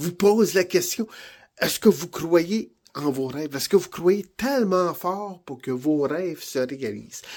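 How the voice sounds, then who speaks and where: Speaking fairly slowly with a slight Franco-Ontarian accent, a man has a high pitch, a dark, mellow tone and ordinary pitch variation, on a very clean recording with a silent background. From Ontario, Canada (Franco-Ontarian). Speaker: vlogger and aspiring TV host. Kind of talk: motivational vlog. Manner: enthusiastic, encouraging.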